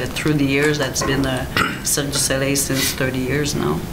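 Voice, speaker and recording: A woman talks with a French accent. Noticeable background noise runs underneath. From Quebec. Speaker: acrobatic choreographer, former performer. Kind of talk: panel interview. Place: meeting room.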